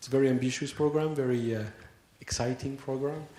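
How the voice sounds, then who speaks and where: A man with a French accent speaks at a medium pitch with ordinary pitch variation. Audible room echo surrounds his voice. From France. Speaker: association president. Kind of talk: conference opening speech. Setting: conference hall with audience. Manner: hesitant, many fillers.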